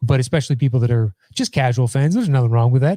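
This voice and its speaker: A man speaks at a medium pitch with ordinary pitch variation, sounding somewhat breathy. His tone is dark and mellow, and the sound is dry and close with no echo. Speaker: sports show host. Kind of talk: live stream sports talk. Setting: live stream with chat. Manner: casual with many fillers.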